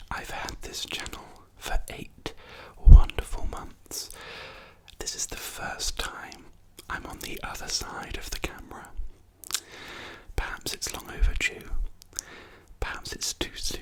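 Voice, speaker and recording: Whispering with an English accent, a man talks at a fairly slow pace with long, frequent pauses and big swings in loudness over noticeable background noise. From England. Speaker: ASMR creator. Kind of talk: ASMR talk to camera. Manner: soft-spoken, whispered.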